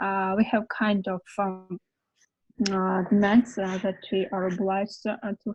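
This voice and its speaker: Somewhat breathy and at a very slow pace, a woman speaks with a Georgian accent at medium pitch in monotone, flat intonation. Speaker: conference panelist. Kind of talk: online panel discussion. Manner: halting, many fillers.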